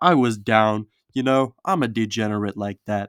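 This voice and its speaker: A man talks with ordinary pitch variation. The sound is dry and close with no echo, on a very clean recording with a silent background. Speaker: storytelling YouTuber. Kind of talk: casual storytelling. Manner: fast; animated.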